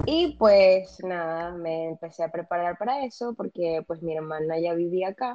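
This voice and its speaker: This woman's voice has a dark, mellow tone, a medium pitch and ordinary pitch variation. She speaks at a very slow pace. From Venezuela. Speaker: psychologist. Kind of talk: casual interview.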